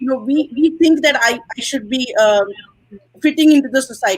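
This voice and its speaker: High-pitched woman with lively intonation and a fairly quick pace. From India. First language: not English. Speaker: guest speaker on wellness. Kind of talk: live stream panel conversation.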